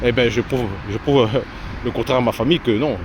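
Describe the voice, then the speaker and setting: Noticeable background noise sits behind a man at a medium pitch. He keeps a moderate pace and fairly even intonation. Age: 40s. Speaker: vlogger. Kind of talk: walking vlog. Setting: outdoors. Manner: halting.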